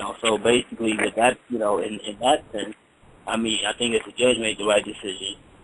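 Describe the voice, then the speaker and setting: There is noticeable background noise behind a man. He speaks at a medium pitch and a fairly quick pace. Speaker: boxing radio show guest, boxer with mma career. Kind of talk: radio interview answer. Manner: conversational, rambling, uses many filler phrases.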